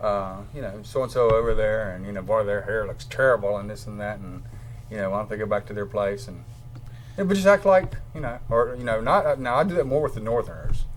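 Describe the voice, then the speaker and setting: In a Southern accent, a man talks at a fairly quick pace and a medium pitch with ordinary pitch variation and big swings in loudness. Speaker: talk show host. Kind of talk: casual chat.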